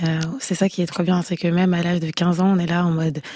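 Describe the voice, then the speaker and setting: A husky, dark and mellow woman's voice, fairly low in pitch, at a very fast pace. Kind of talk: casual interview. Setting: radio studio.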